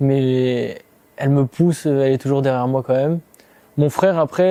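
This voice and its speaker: The tone is dark and mellow. Intonation stays monotone and flat. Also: man. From southern France (Provence). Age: 20s. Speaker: MMA fighter. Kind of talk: interview testimony. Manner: hesitant, many fillers.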